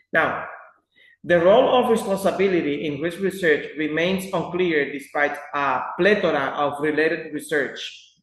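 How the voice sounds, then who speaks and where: A man's high-pitched voice carries a clear echo from the room. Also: ordinary pitch variation, moderate pace. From Dominican Republic. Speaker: student. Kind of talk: class presentation.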